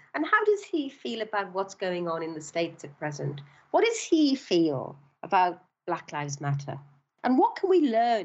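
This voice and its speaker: With a Welsh accent, a woman speaks at a fairly slow pace using very wide pitch swings. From South Wales, Swansea. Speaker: bank founder and CEO. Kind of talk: interview.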